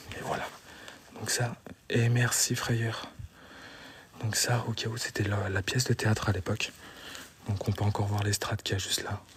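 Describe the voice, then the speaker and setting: A soft-spoken man talks at a moderate pace and a medium pitch, his intonation flat and monotone. He leaves long, frequent pauses. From France, Meurthe-et-Moselle (54). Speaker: urban explorer streamer. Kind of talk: live stream narration. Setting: abandoned building, exploring live. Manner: soft-spoken, speaking quietly.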